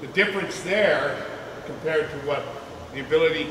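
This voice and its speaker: There is audible room echo and noticeable background noise as a man speaks at a moderate pace. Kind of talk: presentation to a small audience. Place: hall. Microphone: camera far.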